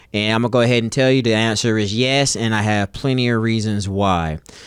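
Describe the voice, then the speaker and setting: At a fairly quick pace, a man with a plain, everyday voice talks at medium pitch with ordinary pitch variation. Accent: American. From North Carolina. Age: 40s. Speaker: gaming content creator. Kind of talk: casual monologue to camera. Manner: casual, many fillers.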